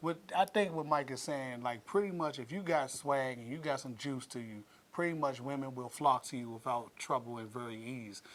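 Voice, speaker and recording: In an unremarkable speaking voice, a man with an American accent talks at a moderate pace and medium pitch, with ordinary pitch variation, hardly any pauses and big swings in loudness. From Washington DC. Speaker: podcast host. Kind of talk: casual chat.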